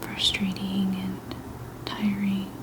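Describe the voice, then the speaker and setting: A woman whispers in a relaxed tone over noticeable background noise. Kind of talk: ASMR soft-spoken affirmations chat. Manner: soft-spoken, whispery, relaxed.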